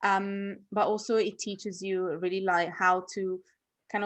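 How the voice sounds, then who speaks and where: A woman with an Italian accent speaks at a moderate pace and medium pitch, with fairly even intonation over a quiet background. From Italy. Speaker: author and entrepreneur. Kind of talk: online workshop interview.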